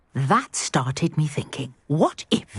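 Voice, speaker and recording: A put-on character voice growls at a middle pitch. The pace is fairly slow. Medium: video game. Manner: polite, articulate, scholarly.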